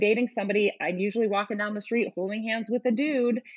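Speaking at a fairly quick pace with an American accent, a woman of medium pitch has a plain, everyday voice. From US West Coast (Oakland, California). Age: 40s. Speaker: Broadway media personality, former radio host. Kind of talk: casual interview chat.

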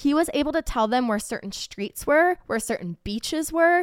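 A woman with an unremarkable speaking voice talks at a moderate pace with lively intonation. The sound is dry and close, with no echo. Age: 30s. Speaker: podcast guest. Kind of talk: casual chat.

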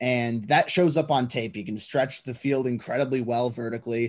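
Against a quiet background, a man with a normal speaking voice and a medium pitch talks at a moderate pace. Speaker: lead draft analyst, co-host. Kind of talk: casual banter, sports analysis.

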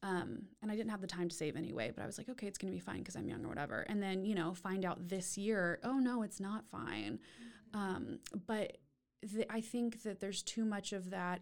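This woman has an unremarkable speaking voice at medium pitch, with an American accent. She talks at a fairly quick pace. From Texas, Austin. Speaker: therapist and cancer survivor. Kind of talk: interview.

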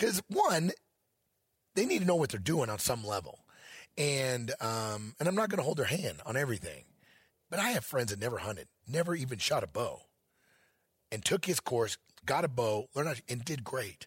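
With an American accent, a man speaks at a fairly high pitch with very wide pitch swings, long, frequent pauses, and a somewhat breathy quality, on a very clean recording with a silent background. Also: moderate pace. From Missouri. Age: 50s. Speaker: elk hunting educator. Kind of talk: interview. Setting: event venue.

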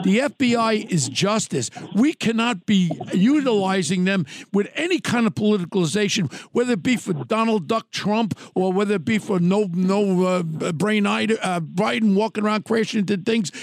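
A man talks high in pitch, his intonation full of movement. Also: moderate pace, very even loudness. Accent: New York. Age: 70s. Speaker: podcast host, true crime. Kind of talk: casual interview chat. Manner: animated.

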